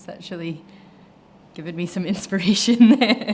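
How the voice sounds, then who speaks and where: Over music in the background, a woman talks in a Scottish accent. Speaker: bartender. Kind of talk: cocktail tutorial talk to camera.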